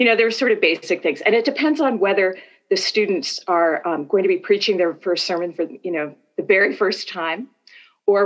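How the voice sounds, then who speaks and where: Someone with an American accent speaks at a moderate pace with lively intonation. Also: woman. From US Northeast. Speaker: professor of preaching. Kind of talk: interview.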